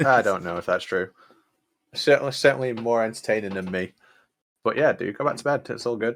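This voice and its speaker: A man speaks with a British accent at a medium pitch and ordinary variation. Long, frequent pauses come through on a very clean recording with a silent background. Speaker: streamer playing a video game. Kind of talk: live gameplay stream chat. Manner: casual.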